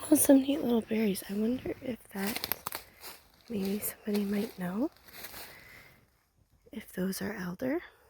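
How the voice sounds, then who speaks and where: A soft-spoken woman at fairly high pitch, moderate in pace, with long, frequent pauses and noticeable background noise. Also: ordinary pitch variation. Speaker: ASMR creator. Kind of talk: ASMR walk vlog. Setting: outdoors in woods. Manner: whispering at times.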